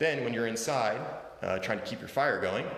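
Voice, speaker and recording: A man is speaking in a room with audible echo. Noticeable background noise is present too. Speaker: real estate agent. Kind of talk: virtual open house tour. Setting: walking through house on video stream.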